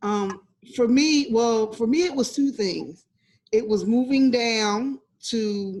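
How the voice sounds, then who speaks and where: A woman with an American accent speaks at a very slow pace and a fairly high pitch. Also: ordinary pitch variation. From New Jersey. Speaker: nonprofit co-founder. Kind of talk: casual interview.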